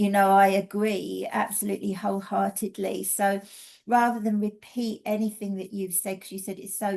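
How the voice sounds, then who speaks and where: In a quiet background, a woman with an English accent speaks at a medium pitch in a dark, mellow tone with monotone, flat intonation. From England. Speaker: energy healing teacher and mentor. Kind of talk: casual webinar presentation.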